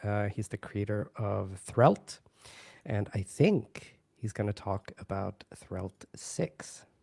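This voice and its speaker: A man speaks very slowly in a fairly low, dark and mellow voice with a somewhat breathy quality. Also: ordinary pitch variation. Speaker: conference livestream host. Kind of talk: casual chat. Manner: halting; soft-spoken. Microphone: audio too quiet.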